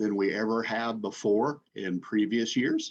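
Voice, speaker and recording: Speaking fairly slowly, a man with an unremarkable speaking voice shows ordinary pitch variation. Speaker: lender relations specialist at a government agency. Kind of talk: webinar presentation.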